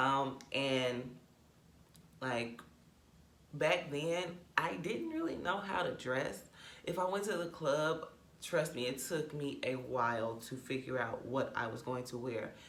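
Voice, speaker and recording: A woman with a very deep, low pitch speaks at a fairly slow pace, leaving long, frequent pauses and using ordinary pitch variation. Noticeable background noise and audible room echo fill the recording. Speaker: YouTuber. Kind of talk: storytime vlog. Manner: casual, conversational.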